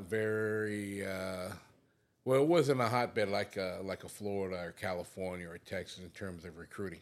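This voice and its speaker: On a very clean recording with a silent background, a man with an American accent speaks in a fairly low pitch. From American Samoa. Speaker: retired football coach. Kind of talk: interview. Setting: coaching clinic. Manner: hesitant with frequent fillers.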